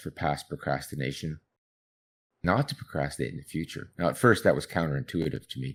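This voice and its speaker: The voice has vocal fry. The recording is very clean, with a silent background. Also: man. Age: 60s. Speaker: psychologist researching procrastination. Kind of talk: interview.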